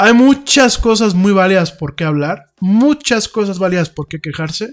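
On a very clean recording with a silent background, a man speaks at a fairly slow pace. His pitch is high, with ordinary variation. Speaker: radio host. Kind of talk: casual chat. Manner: halting.

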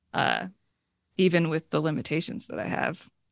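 Speaking at a moderate pace, a woman with vocal fry is heard in a dry, close sound with no echo and a quiet background. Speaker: author and podcast guest. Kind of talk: casual interview conversation.

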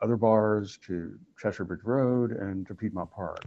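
In an American accent, a man with a plain, everyday voice speaks at a fairly slow pace and fairly low pitch, with fairly even intonation. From Oklahoma. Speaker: library staff interviewer. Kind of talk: interview.

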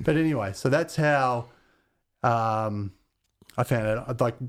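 In an Australian accent, a man speaks at a medium pitch with fairly even intonation. The recording is very clean, with a silent background. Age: 50s. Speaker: radio DJ and musician. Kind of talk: casual chat.

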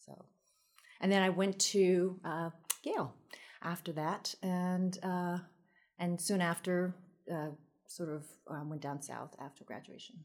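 With long, frequent pauses, a woman speaks at a fairly low pitch in fairly even intonation, her loudness swinging widely. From New York (Queens), family from Taiwan. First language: Taiwanese. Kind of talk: casual chat. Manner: frequent fillers, hesitant.

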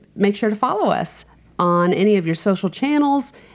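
A woman talks at a fairly high pitch with lively intonation. It is an unremarkable speaking voice. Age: 50s. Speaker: home improvement podcast co-host. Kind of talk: casual chat.

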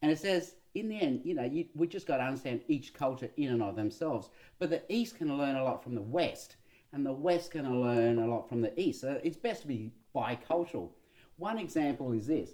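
With a dark, mellow tone and fairly high pitch, a man speaks at a fairly quick pace with lively intonation. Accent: Australian. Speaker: pastor and sociologist podcast co-host. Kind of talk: casual chat.

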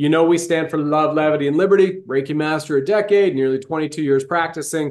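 The speech moves at a fairly quick pace with hardly any pauses over a quiet background. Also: man, fairly high pitch for a man. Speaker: podcast host. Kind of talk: casual interview chat. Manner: animated.

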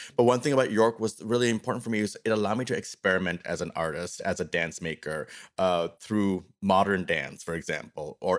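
In an ordinary speaking voice, a man talks at a fairly quick pace with hardly any pauses, his fairly low pitch showing ordinary pitch variation. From Canada, Toronto suburbs. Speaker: artist and professor. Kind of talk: interview. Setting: video call.

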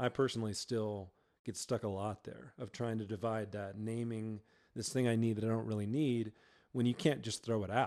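On a very clean recording with a silent background, a man speaks at a moderate pace. His is an unremarkable speaking voice with fairly even intonation. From Georgia, US South. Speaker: worship pastor. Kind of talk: casual interview chat. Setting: studio.

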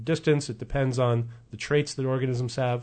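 A man speaks at a fairly quick pace. He has an unremarkable speaking voice at a medium pitch. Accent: American. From US West Coast, Oregon. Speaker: evolutionary biologist. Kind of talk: radio interview. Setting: radio studio.

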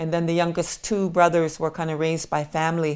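A woman at a fairly quick pace. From Crow Indian Reservation, Montana. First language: Crow. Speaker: nonprofit executive director. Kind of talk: interview storytelling.

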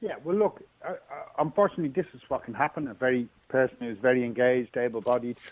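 A man with an Irish accent speaks at a fairly quick pace and medium pitch. The sound is dry and close, with no echo. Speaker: charity support coordinator. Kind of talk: radio interview.

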